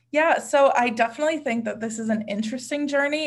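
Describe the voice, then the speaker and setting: Ordinary pitch variation runs through a woman's unremarkable speaking voice. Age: 20s. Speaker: influencer marketing professional. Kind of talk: casual interview.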